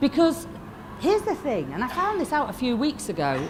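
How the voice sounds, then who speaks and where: A woman with a Yorkshire accent and very wide pitch swings, amid audible room echo and noticeable background noise. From northern England, Lancashire (Fleetwood). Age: 50s. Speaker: motivational speaker. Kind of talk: motivational keynote speech. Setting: stage with audience. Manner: animated.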